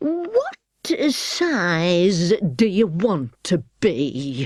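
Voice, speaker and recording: Using a put-on character voice, a woman speaks at medium pitch with very wide pitch swings. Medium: read story. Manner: curt, contradictory.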